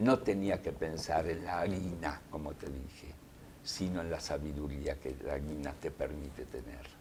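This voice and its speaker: A man talks at a fairly slow pace in a very deep, low voice with vocal fry and ordinary pitch variation. Audible room echo surrounds him. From Soviet Union, raised in Argentina from childhood. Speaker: journalist and writer. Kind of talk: interview. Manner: reflective.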